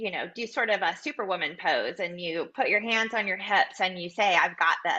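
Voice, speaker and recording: In an ordinary speaking voice, a woman talks at medium pitch with ordinary pitch variation. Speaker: personal brand and style consultant. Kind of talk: live coaching session on webinar.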